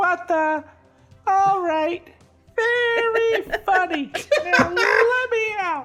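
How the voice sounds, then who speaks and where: A put-on character voice, squeaky and extremely high, at a very slow pace with long, frequent pauses and faint music in the background. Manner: annoyed, impatient.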